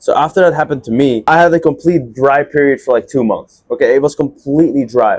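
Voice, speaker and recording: Talking very fast with a Dutch accent, a man uses a fairly high pitch and ordinary pitch variation. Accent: Dutch accent in English, largely fixed. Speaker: agency owner, entrepreneur. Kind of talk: casual talk to camera, personal story. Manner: casual, filler-heavy.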